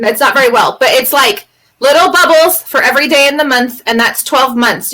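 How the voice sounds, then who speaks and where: Her voice is high and raised, projected outward at a fairly quick pace. The woman's pitch varies in an ordinary way. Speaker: podcast co-host. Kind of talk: casual group chat at a live online event. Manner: loud.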